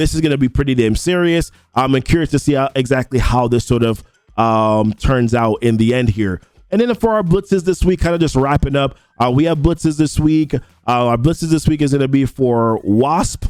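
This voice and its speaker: Lively intonation in a Jamaican accent at a fairly quick pace, very even in loudness, with music in the background. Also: man, fairly high pitch for a man. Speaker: gaming YouTuber. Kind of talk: casual commentary video. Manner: casual, many fillers.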